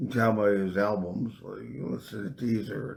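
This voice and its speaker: Somewhat breathy speech at a fairly slow pace, with ordinary pitch variation. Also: man. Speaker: musician and festival founder. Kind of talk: casual interview on live stream. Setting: live stream. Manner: hard to understand.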